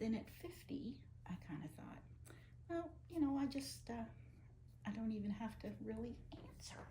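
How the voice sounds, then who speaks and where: Long, frequent pauses break up a woman's speech at a moderate pace. Audible room echo is present. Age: 60s. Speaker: rug hooker. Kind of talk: casual chat.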